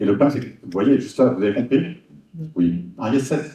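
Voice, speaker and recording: This man's somewhat breathy voice sits at a medium pitch and moves with lively intonation. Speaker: hypnosis trainer. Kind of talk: workshop presentation. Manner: fast, many repetitions and fillers.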